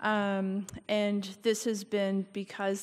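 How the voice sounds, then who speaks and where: The woman's pace is very slow. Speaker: speaker. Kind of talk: formal testimony at a public meeting. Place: hall. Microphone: podium.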